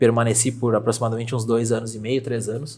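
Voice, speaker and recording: A man speaks at a medium pitch in a monotone, flat intonation. His voice is somewhat breathy. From Brazil, Rio Grande do Sul interior (Júlio de Castilhos). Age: 20s. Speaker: real estate agent. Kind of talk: podcast interview.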